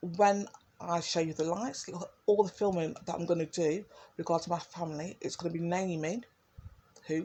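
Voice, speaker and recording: Here a woman speaks with an East Midlands accent. Her voice is somewhat breathy, with fairly even intonation. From East Midlands, England (Derby). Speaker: video blogger. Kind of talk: personal monologue. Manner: rambling, hesitant with fillers.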